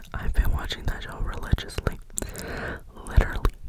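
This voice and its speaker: The speaker is whispering. Background noise is noticeable. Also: woman. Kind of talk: ASMR ramble. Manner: whispered; repetitive echoing words.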